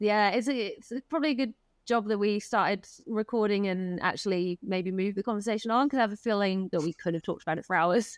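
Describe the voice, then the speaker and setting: A woman with an English accent at a very fast pace, hardly any pauses, ordinary pitch variation, and a dry, close sound with no echo. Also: medium pitch for a woman, very clean recording, silent background. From England. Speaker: elopement photographer. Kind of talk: casual interview.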